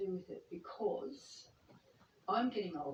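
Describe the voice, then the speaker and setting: Very slowly, a woman speaks at medium pitch in a somewhat breathy voice. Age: 60s. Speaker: counselling client. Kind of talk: counselling session. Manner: halting.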